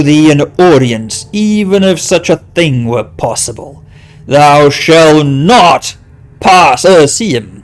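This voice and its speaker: Using a put-on character voice, a man talks very slowly in a booming, resonant tone pitched fairly high. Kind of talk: archaic, formal. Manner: imposing, forbidding.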